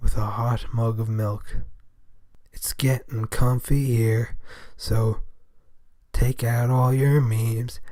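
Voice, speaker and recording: Speaking at a very slow pace with long, frequent pauses, the man has a medium-pitched, somewhat breathy voice, a dark, mellow tone and monotone, flat intonation. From Europe, not England or Scotland. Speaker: podcast host. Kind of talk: casual monologue podcast.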